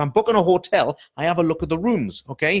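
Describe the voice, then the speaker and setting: A man with a high pitch talks in an animated tone with ordinary pitch variation, the sound dry and close with no echo. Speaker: salon business coach. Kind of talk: live Q&A coaching broadcast. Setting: live online video stream. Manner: fast.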